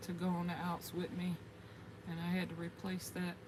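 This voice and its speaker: A woman with an American accent speaks in a fairly low pitch over noticeable background noise. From US South, South Carolina (Gullah Geechee area). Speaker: gardening YouTuber, military veteran. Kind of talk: livestream casual chat. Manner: chatty, halting with fillers.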